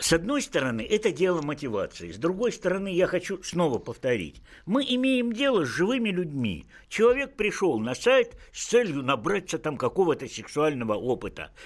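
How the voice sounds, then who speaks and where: A man's high-pitched voice with very wide pitch swings, in a very clean recording with a silent background. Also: moderate pace. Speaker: physician and sexologist, professor. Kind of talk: radio talk show discussion. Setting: radio studio.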